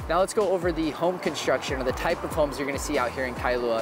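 A man at a very fast pace with ordinary pitch variation, dry sound with no echo, and noticeable background noise. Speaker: real estate vlogger. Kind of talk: casual vlog chat. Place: bar. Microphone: lapel.

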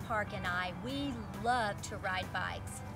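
Clear music runs behind the speech. The speaker is a woman. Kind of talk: storytelling read-aloud. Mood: warm, lively storyteller. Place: open country.

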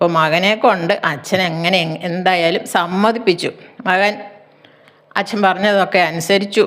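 The voice belongs to a woman with medium pitch. Her intonation stays fairly even. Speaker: storyteller. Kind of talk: storytelling. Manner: halting.

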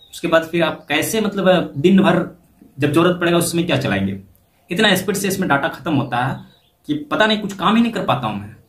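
Audible room echo surrounds a man who speaks at a moderate pace in a high pitch. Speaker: video creator. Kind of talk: casual vlog chat. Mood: complaining, mildly frustrated. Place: home room. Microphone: phone near.

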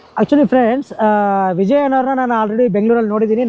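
Despite noticeable background noise, a man's extremely high pitch comes through with fairly even intonation. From Karnataka, Chitradurga district. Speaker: village vlogger. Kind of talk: vlog interview.

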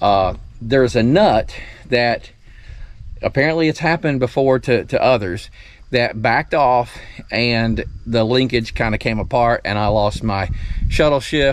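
A man talks at a fairly slow pace with long, frequent pauses and ordinary pitch variation, the sound dry with no echo. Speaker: homestead tractor owner. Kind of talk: casual vlog chat. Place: garden. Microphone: phone near.

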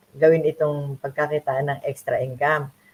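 A woman does the talking. She speaks with a very deep, low pitch. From Philippines, Nueva Ecija (Ilocano). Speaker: online business mentor. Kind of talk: live stream interview.

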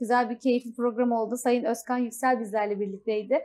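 At a very fast pace, a woman talks in a high pitch with a dark, mellow tone and monotone, flat intonation. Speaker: TV show host. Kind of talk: TV interview hosting. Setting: studio. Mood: cheerful, smiling. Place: studio. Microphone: lapel.

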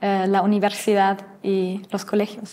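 A woman speaks with a German accent. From Germany, Mainz; Germany. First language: German (speaking Spanish). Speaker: trainee teacher, university student; trainee teacher. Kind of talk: interview. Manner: halting, many fillers. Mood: friendly, smiling. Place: studio.

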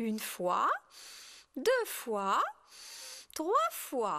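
A high-pitched, female-sounding cartoonish character voice. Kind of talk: children's puppet show. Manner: teasing, light.

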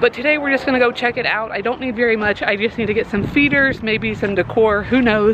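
Over noticeable background noise, a woman talks at a fairly quick pace with fairly even intonation. The sound is dry, with no echo. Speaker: pet vlogger. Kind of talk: casual vlog chat. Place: street. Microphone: phone near.

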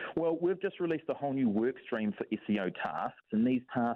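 A man talks at a moderate pace. The sound is dry with no echo, and the background is quiet. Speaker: radio guest. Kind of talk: interview answer. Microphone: phone line.

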